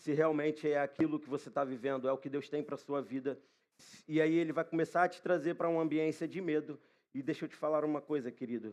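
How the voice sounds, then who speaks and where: In a normal speaking voice, a man with a fairly high pitch talks at a fairly quick pace with fairly even intonation. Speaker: preacher. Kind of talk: sermon. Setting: church.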